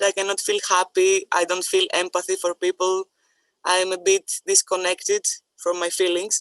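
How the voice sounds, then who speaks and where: The woman speaks with a non-native accent in a dry, close sound with no echo. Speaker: person with lived experience. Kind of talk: personal testimony.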